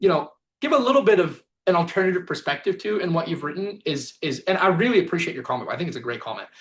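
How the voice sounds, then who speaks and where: A man's high voice, very fast and with lively intonation. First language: Spanish. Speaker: business workshop presenter. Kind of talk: online workshop Q&A. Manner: casual, many fillers.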